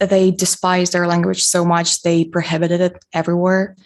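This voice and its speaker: At a moderate pace, a woman speaks with medium pitch against a quiet background. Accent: Russian. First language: Russian. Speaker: cultural event speaker. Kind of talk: presentation.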